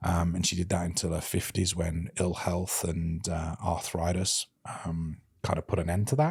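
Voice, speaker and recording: Very deep, low-pitched male voice with a British accent, somewhat breathy, at a fairly slow pace on a very clean recording with a silent background. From England, Birmingham. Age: 30s. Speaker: podcast host, interviewed as guest. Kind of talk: casual interview. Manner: mumbling.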